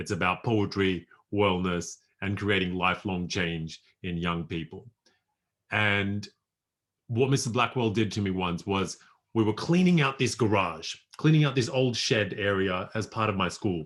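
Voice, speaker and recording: On a very clean recording with a silent background, a man with an Australian accent speaks at a moderate pace, fairly low in pitch, with ordinary pitch variation. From rural New South Wales, Australia. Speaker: poet and life coach. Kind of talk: workshop presentation.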